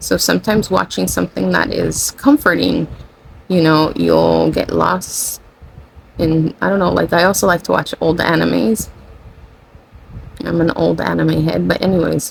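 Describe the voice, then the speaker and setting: Moderate pace with long, frequent pauses and noticeable background noise. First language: Spanish. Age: 40. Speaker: spiritual channeler / content creator. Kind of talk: casual spiritual monologue. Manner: rambling, self-correcting.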